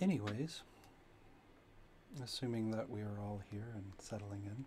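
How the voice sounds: A soft-spoken man, fairly low in pitch, slightly mellow in tone, with fairly even intonation at a fairly slow pace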